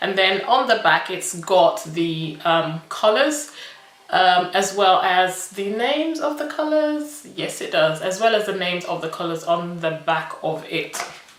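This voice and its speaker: With a medium pitch, a woman speaks at a fairly slow pace with very wide pitch swings. Both noticeable background noise and audible room echo are present. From Nigerian British. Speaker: beauty vlogger. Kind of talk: makeup review tutorial. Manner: animated.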